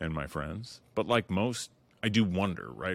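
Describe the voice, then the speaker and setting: With vocal fry and lively intonation, a man speaks at a very deep, low pitch and a moderate pace, in a very clean recording with a silent background. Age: 40s. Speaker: podcast host. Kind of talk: solo monologue intro.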